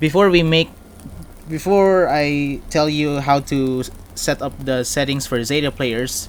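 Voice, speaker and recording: A very slow pace from a man, fairly high in pitch, with ordinary pitch variation. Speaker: gaming video creator. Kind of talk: game tutorial voice-over. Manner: hesitant, stuttering.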